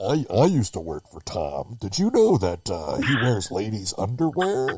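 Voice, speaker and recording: Putting on a character voice, a man with a medium pitch talks at a moderate pace, with very wide pitch swings and big swings in loudness. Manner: whistleblower tone, secretive.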